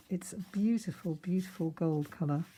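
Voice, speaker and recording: A woman's dark, mellow, somewhat breathy voice, fairly low in pitch, with fairly even intonation at a moderate pace. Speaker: card-making crafter. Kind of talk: tutorial. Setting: home craft room. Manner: chatty.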